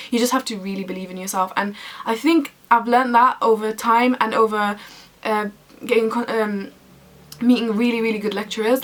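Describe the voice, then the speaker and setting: A woman's animated, fairly high-pitched voice over noticeable background noise. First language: Arabic. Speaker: university student vlogger. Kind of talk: casual vlog talk to camera.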